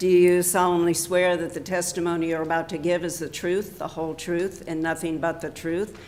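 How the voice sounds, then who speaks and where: Noticeable background noise sits behind a woman's fairly low-pitched voice. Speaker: county commissioner chairing the session. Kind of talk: public meeting proceedings. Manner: loud; formal.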